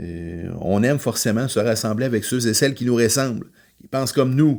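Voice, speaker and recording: The recording is very clean, with a silent background. The pace is moderate and the pitch varies an ordinary amount. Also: man. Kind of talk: podcast monologue on faith. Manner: loud; hesitant, many filler words.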